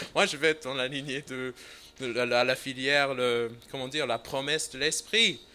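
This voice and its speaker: A man speaks in a non-native accent at a medium pitch and a moderate pace. His tone is bright and sharp, with fairly even intonation. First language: English (speaking French). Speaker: visiting preacher. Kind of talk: sermon. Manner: halting, many hesitations.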